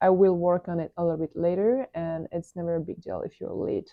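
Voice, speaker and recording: A woman with a French accent, medium pitch, fairly even intonation, and a moderate pace. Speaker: airline pilot and productivity vlogger. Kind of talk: screen tour tutorial. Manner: casual, hesitant with fillers.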